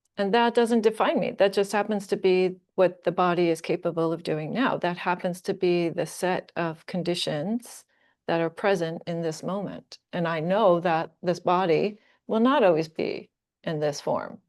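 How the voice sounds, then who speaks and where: In an unremarkable speaking voice, the speaker talks at a moderate pace with ordinary pitch variation against a quiet background. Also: woman, medium pitch for a woman. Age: 60s. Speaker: Buddhist teacher. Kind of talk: closing announcements; dharma talk.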